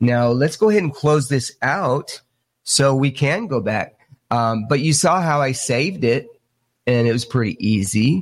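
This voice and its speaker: In a very clean recording with a silent background, a man of medium pitch speaks at a fairly slow pace with lively intonation and a somewhat breathy sound. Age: 50s. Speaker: UFO hunter. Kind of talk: tutorial.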